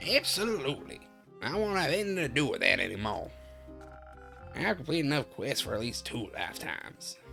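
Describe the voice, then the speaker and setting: Using a put-on character voice, a woman speaks with long, frequent pauses as clear music plays in the background. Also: fairly quick pace. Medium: virtual streamer. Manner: crotchety, sharp, teasing.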